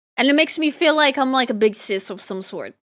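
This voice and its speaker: At a moderate pace, the speaker's bright, sharp tone moves through very wide pitch swings on a very clean recording with a silent background. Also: woman. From Italy. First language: Italian. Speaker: VTuber artist streamer. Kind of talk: casual chat. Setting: live stream.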